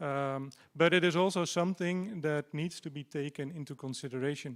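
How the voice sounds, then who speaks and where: In a Dutch accent, a man speaks with ordinary pitch variation. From Netherlands. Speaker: party candidate. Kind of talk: campaign speech.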